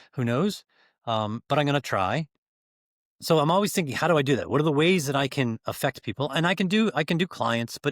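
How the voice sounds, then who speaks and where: An unremarkable speaking voice belongs to a fairly high-pitched man who talks fairly quickly with lively intonation, recorded very cleanly against a silent background in a dry, close sound with no echo. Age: 60s. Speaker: business growth coach. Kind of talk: interview.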